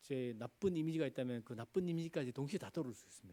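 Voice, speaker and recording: The voice has a dark, mellow tone with a Gyeongsang accent. It moves at a fairly quick pace with lively intonation. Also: man. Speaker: pastor. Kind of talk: sermon.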